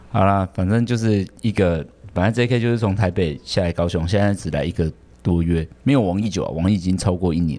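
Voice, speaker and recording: His tone comes across dark and mellow. The male voice sits very deep and low in pitch. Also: ordinary pitch variation, fairly quick pace. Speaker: podcast host and hair salon manager. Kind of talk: casual chat. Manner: many filler sounds.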